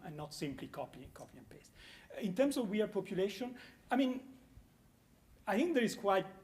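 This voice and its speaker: The speaker has an Italian accent and lively intonation. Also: man. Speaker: conference panelist. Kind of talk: panel discussion. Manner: halting.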